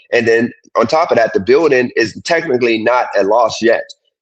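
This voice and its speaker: At a fairly quick pace, a man speaks in an unremarkable speaking voice with a medium pitch and fairly even intonation. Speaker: streamer answering viewer questions. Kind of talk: heated live stream discussion. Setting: live stream.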